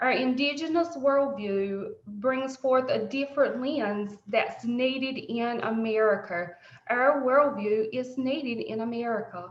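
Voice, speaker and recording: Speaking fairly slowly with a strong Southern US accent, a woman shows ordinary pitch variation, and audible room echo surrounds her voice. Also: hardly any pauses. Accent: thick deep Southern drawl. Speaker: presenter. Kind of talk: presentation.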